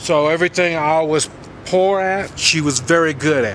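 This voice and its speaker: Through noticeable background noise, a fairly high-pitched man speaks at a moderate pace with ordinary pitch variation. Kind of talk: casual talk to camera.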